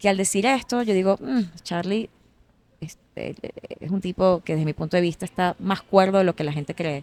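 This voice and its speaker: A woman's medium-pitched voice shows ordinary pitch variation, recorded with a dry, close sound and no echo. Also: moderate pace. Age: 40s. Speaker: singer. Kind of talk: casual interview chat. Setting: café. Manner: halting, many fillers and repetitions.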